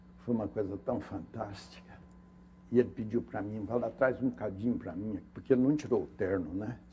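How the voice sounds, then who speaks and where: The voice has a dark, mellow tone with vocal fry and ordinary pitch variation. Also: man, fairly low pitch for a man, moderate pace. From Minas Gerais, Brazil. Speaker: actor. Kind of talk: interview answer. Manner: storytelling, reflective.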